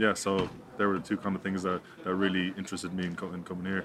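With an Irish accent, a man talks at a fairly quick pace and a fairly low pitch. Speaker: professional rugby player. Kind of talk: interview. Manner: halting, many repetitions.

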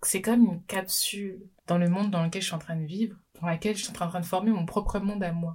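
A woman's somewhat breathy, fairly low voice with fairly even intonation, on a very clean recording against a silent background. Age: 20s. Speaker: business coach and podcaster. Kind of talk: solo podcast monologue. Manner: unscripted, conversational.

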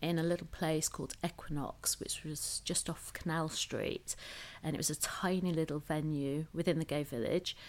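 A woman with a northern English accent speaks at a very deep, low pitch with fairly even intonation. The recording is very clean, with a silent background. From northern England. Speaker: hotel creative director and club promoter. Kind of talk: interview.

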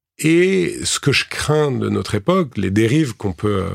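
Delivery is very slow, with lively intonation. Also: man. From France, urban area. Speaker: farmer and entrepreneur. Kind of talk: interview. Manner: halting, many hesitations.

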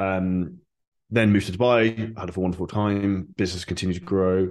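Against a quiet background, a man with a southern English accent speaks in a very deep, low pitch and a monotone, flat intonation. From Surrey, southern England. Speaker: online fitness coach and entrepreneur. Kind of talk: interview.

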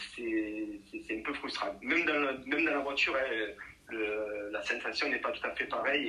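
A man talks at a moderate pace while noticeable noise runs in the background. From southern France, Nîmes. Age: 40s. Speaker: rally driver. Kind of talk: interview. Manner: halting.

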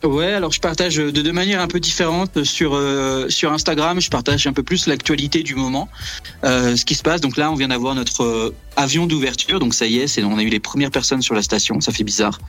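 A man's voice at a fairly quick pace, with very even loudness, ordinary pitch variation and noticeable background noise. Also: fairly high pitch for a man. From Brittany, France. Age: 30s. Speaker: astrophysics research assistant. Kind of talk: radio interview. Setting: remote call from Antarctica.

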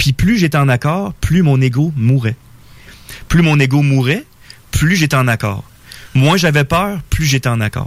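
Fairly high-pitched and somewhat breathy, a man speaks at a fairly slow pace with long, frequent pauses, very even loudness and ordinary pitch variation. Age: 40s. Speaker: spiritual guest. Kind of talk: radio interview. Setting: radio studio.

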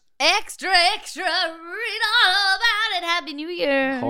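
This put-on character voice is pitched extremely high. It moves at a fairly slow pace. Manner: loud, proclaiming.

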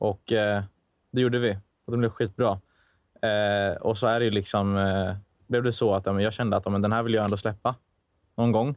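This man speaks fairly quickly in a fairly low, monotone voice at very even loudness. Long pauses come often. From Dalarna, Sweden (Falun). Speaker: songwriter and musician, student. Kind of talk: casual chat.

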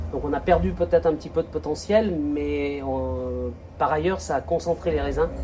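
Noticeable background noise under a man's fairly quick pace. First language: French. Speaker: winegrower. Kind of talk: casual interview. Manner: halting.

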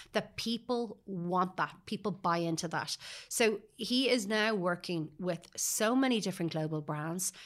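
A woman with a Dublin accent speaks at a medium pitch and a fairly slow pace, with ordinary pitch variation. The recording is very clean, its background silent. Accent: Dublin Irish. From Dublin, Ireland (Sutton). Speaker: PR agency founder. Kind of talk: interview. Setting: studio.

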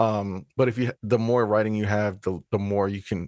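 A man in a normal speaking voice talks at a moderate pace with fairly low pitch and fairly even intonation, the sound dry and close with no echo. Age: 30s. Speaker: podcast co-host, filmmaker and screenwriter. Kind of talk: casual chat.

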